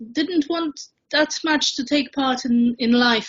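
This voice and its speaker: With ordinary pitch variation, a woman talks at a very slow pace. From Poland, then East End of London. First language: Polish. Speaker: community activist. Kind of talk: personal testimony talk. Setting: online event.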